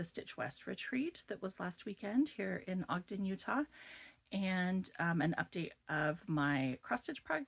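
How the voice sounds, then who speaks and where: Lively intonation from a woman with a fairly low, somewhat breathy voice at a fairly slow pace. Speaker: cross-stitch vlogger. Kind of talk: casual vlog update.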